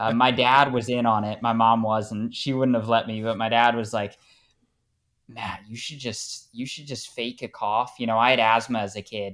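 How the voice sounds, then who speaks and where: A man with an American accent speaks at a moderate pace in a flat, monotone delivery, his medium-pitched voice swinging widely in loudness on a very clean recording with a silent background. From United States. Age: 20s. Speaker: soccer fan. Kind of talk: casual interview.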